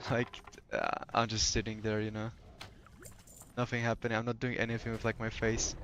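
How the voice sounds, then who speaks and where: Speaking at a medium pitch, a man goes at a fairly quick pace in a monotone, flat intonation, broken by long, frequent pauses. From Poland. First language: Polish. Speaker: gaming streamer. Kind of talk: casual chat. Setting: live stream. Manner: relaxed, hesitant with fillers.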